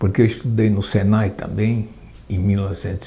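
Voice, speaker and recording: Somewhat breathy, this man's fairly low voice has a dark, mellow tone. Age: 80s+. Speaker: retired union leader and woodworker. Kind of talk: oral history testimony. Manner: halting, with repetitions.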